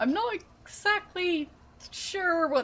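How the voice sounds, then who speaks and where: A woman raises and projects her voice, bright and sharp in tone, with very wide pitch swings. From Austria. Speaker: streamer. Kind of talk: casual chat. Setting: live stream.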